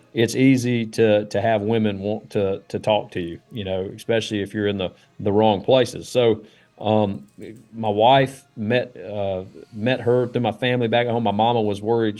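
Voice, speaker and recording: Over music in the background, a man talks at a fairly quick pace with a fairly low pitch and fairly even intonation. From Alabama. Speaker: former Navy SEAL, founder of rescue group. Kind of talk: testimony. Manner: casual, halting with fillers.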